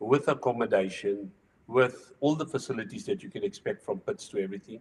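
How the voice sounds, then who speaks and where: A man speaks in a somewhat breathy voice. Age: 60s. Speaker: retired racing driver. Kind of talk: casual chat.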